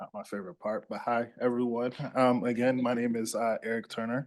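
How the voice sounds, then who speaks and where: Using a monotone, flat intonation, a man with a Louisiana accent speaks at a medium pitch. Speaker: police officer. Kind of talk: public presentation to city council.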